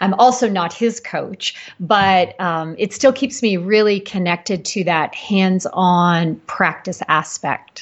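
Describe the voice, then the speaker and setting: A woman with an ordinary speaking voice talks at a fairly slow pace with hardly any pauses. Her pitch is medium, with ordinary variation. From Canada. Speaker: practice coach for health professionals. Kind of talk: interview.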